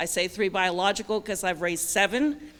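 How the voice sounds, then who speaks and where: An ordinary speaking voice from a woman, medium in pitch. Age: 60s. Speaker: judicial candidate. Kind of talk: campaign speech.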